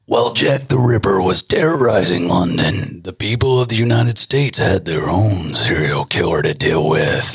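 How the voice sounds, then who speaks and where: A raspy put-on character voice from a man, medium in pitch, at a moderate pace. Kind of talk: dramatic announcer.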